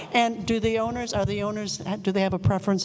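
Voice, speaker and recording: A woman talks at a medium pitch with noticeable background noise behind her. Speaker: audience member. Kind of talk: audience question. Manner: loud.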